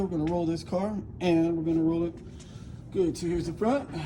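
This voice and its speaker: Very fast speech over noticeable background noise. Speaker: DIY car customizer. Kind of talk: casual tutorial. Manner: casual, filler-heavy; loud.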